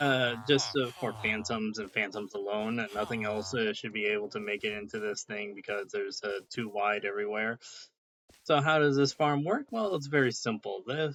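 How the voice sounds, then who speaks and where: Speaking at a moderate pace, a man uses a medium pitch and ordinary pitch variation. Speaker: gaming youtuber. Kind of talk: gameplay tutorial. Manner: hesitant, many fillers.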